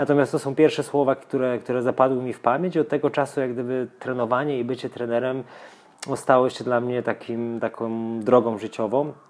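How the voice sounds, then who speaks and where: A man talks fairly quickly at medium pitch, his intonation fairly even. It is a normal speaking voice. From Poland, Lower Silesia (Żarów). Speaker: tennis coach. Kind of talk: casual interview.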